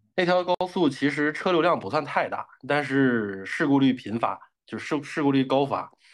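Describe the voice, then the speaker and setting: Against a quiet background, a man with a normal speaking voice talks at a moderate pace in a fairly high pitch, his intonation lively and hardly any pauses between words. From Northeast China, Daqing. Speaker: podcast guest. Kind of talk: casual chat.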